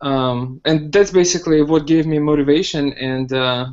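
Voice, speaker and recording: In a Russian accent, a man talks at a moderate pace with a fairly high pitch and fairly even intonation. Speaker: hotel manager learning web development. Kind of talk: casual podcast interview. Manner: hesitant, many fillers.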